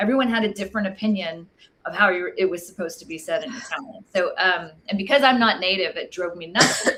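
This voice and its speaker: A woman at a very fast pace with an American accent, medium pitch, ordinary pitch variation and big swings in loudness. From Texas. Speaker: wine book author. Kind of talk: casual interview.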